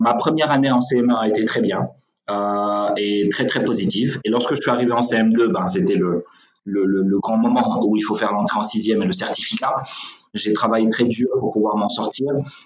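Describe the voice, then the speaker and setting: A man speaks at a moderate pace with a medium pitch, ordinary pitch variation and very even loudness. Some room echo can be heard. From Senegal. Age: 30s. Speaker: real estate executive. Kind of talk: interview. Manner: hesitant with fillers.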